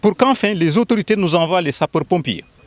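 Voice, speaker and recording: The speaker is a man. The sound is dry and close, with no echo. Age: 60s. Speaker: community spokesman. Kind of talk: public statement. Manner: formal; emphatic.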